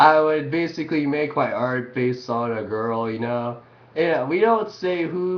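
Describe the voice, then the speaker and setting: Through audible room echo and noticeable background noise, a man speaks at a moderate pace in a fairly high pitch with ordinary pitch variation. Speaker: amateur experimental artist. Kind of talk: casual webcam monologue.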